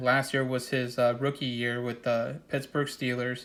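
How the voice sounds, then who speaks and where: At a moderate pace, a man speaks at medium pitch with monotone, flat intonation. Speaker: sports card collector. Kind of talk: casual product showcase. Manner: casual, filler-heavy.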